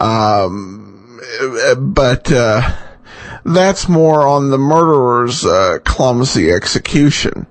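A man of medium pitch speaks at a very slow pace, with long, frequent pauses and lively intonation. His loudness is very even, with noticeable background noise behind him. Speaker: podcast host of old-time radio show. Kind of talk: casual host intro and outro, informal commentary. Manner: conversational, hesitant with many filler words.

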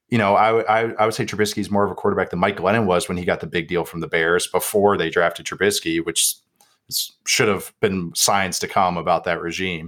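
Using a plain, everyday voice, a man talks at a fairly quick pace with a fairly low pitch and fairly even intonation. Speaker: football analyst. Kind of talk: casual chat.

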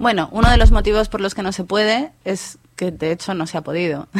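The speaker talks at a moderate pace with a Madrid accent. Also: woman. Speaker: journalist and author. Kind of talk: interview.

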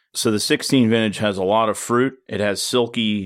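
A man with a fairly low pitch and an ordinary speaking voice talks with an American accent on a very clean recording with a silent background. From Oregon. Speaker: winemaker. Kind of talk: casual chat.

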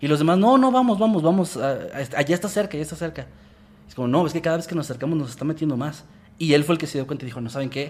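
Very fast and full of big swings in loudness, a man's fairly high voice moves with lively intonation. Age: 20s. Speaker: horror storytelling youtuber. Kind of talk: casual chat.

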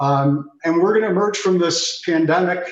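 Here is a man with a normal speaking voice. He keeps a moderate pace and ordinary pitch variation. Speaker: apparel company executive. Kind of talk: TV business interview.

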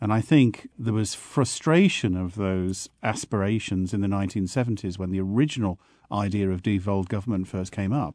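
A man with a southern English accent speaks at a moderate pace in a fairly low pitch, his tone dark and mellow and his pitch varying in an ordinary way against a quiet background. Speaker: panel guest. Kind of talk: panel discussion.

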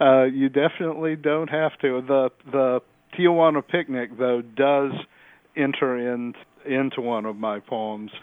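a normal speaking voice in an American accent, its pitch variation ordinary. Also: man, medium pitch for a man. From Arkansas, US South. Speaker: poet and editor. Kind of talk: poem reading, measured and literary; casual interview. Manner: reflective, unhurried, with frequent filler words.

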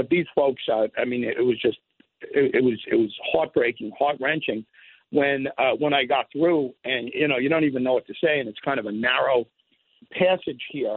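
An unremarkable speaking voice from a man, fairly high-pitched, with fairly even intonation at a moderate pace. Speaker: radio talk show host. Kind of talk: phone interview. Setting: phone call.

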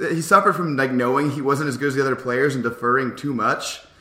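Against noticeable background noise, a man with a medium pitch speaks at a very fast pace. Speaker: basketball podcaster. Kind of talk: casual sports chat.

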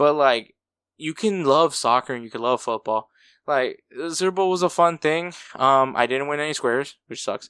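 A man in an ordinary speaking voice with a fairly high pitch, ordinary pitch variation, a moderate pace, big swings in loudness and a quiet background. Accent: American. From Texas, US. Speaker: soccer podcast host, equipment manager. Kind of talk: casual solo podcast.

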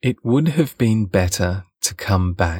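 A somewhat breathy male voice on a very clean recording with a silent background, with a dry, close sound with no echo. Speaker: audiobook narrator. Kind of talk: literary audiobook reading.

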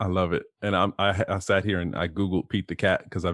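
A man with an American accent speaks at a fairly quick pace and a fairly low pitch. He uses a normal speaking voice. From Ohio, US Midwest. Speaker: executive coach. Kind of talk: casual interview conversation.

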